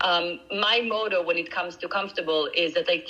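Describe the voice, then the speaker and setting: A non-native accent over noticeable background noise. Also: woman. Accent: foreign accent, noticeable. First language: not English. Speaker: nutritional coach. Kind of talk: interview conversation.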